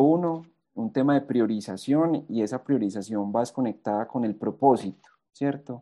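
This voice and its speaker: At a moderate pace, a man talks in a normal speaking voice at medium pitch with ordinary pitch variation. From Colombia, eastern Antioquia (Rionegro). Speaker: university alumnus, business manager. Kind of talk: interview, sharing career lessons.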